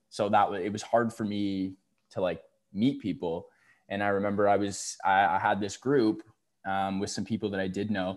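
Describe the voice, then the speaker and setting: An unremarkable speaking voice from a man with a Canadian accent, fairly low in pitch, with fairly even intonation and a moderate pace, on a very clean recording with a silent background. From Ontario, Canada. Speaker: university student and podcast guest. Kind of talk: casual chat.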